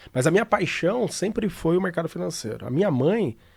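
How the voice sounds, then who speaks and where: A man talks at a moderate pace, his pitch swinging very widely and his voice dropping into vocal fry. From Brazil, São Paulo city. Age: 40s. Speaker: financial trader. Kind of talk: interview. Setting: studio.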